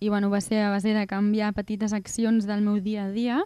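A woman speaks with a dark, mellow tone. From Catalonia, Vallès. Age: 20s. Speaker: singer-songwriter. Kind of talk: radio interview.

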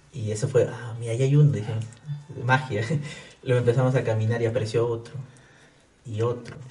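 A man's monotone, flat voice at a fairly quick pace with long, frequent pauses, audible room echo and noticeable background noise. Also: medium pitch for a man. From Peru, Abancay (Apurímac, Andean region). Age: 20s. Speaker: technology entrepreneur. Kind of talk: casual interview.

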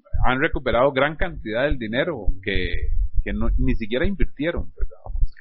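At a moderate pace and with lively intonation, a man talks in a plain, everyday voice. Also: medium pitch for a man. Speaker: radio host. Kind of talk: comedy sketch interview; radio announcement.

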